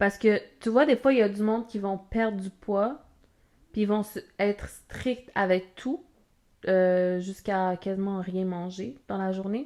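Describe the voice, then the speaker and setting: A woman's dark, mellow voice with a Quebec accent, medium in pitch, fairly slow in pace, and with ordinary pitch variation. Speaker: podcast co-host. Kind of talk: casual chat.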